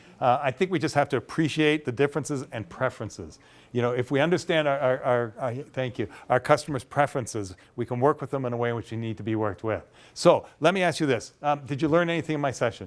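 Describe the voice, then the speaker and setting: On a very clean recording with a silent background, a man with a Canadian accent talks at a very fast pace and a medium pitch. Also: ordinary pitch variation. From Canada. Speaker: professional speaker. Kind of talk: conference workshop discussion. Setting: conference session with audience. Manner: informal.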